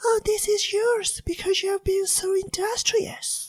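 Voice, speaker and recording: A squeaky, female-sounding put-on character voice pitched extremely high for a woman, delivered at a fairly slow pace. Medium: read story. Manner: kindly, motherly.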